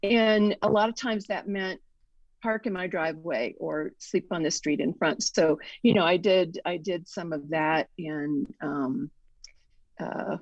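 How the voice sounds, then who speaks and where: A plain, everyday voice from a woman, fairly low in pitch, with lively intonation at a fairly slow pace over a quiet background. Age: 60s. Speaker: writer and author. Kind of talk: casual interview.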